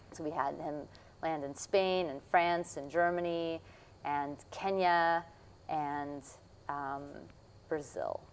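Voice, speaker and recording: A woman with a Russian accent, fairly low-pitched, at a very slow pace with long, frequent pauses and fairly even intonation. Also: big swings in loudness. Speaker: puppeteer and jazz musician. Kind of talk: interview.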